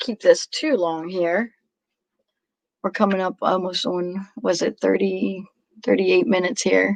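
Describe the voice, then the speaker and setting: A woman's medium-pitched voice at a fairly slow pace, dry and close with no echo. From Pennsylvania, Lancaster County then Philadelphia area. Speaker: reseller, livestream host. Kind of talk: casual chat. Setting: livestream.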